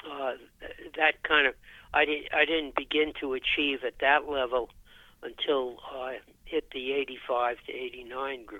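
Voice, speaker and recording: A man speaks very slowly at a fairly high pitch in a monotone, flat intonation. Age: 80s+. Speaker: retired physician and senior athlete. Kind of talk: interview. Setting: phone call. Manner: halting.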